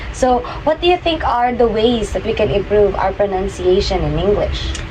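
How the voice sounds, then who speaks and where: A woman talks amid noticeable background noise and audible room echo. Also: moderate pace. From Philippines. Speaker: podcast host. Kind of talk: casual chat.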